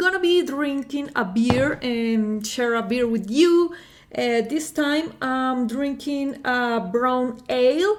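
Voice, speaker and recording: Over noticeable background noise, a woman with a Spanish accent speaks very slowly in a high pitch with lively intonation. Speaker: music reaction youtuber. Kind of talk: casual vlog talk to camera. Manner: halting, many fillers.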